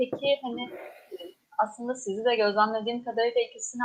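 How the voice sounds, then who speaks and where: A woman has a plain, everyday voice, fairly high in pitch. She talks at a fairly quick pace with ordinary pitch variation. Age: young. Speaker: student event moderator. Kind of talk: interview.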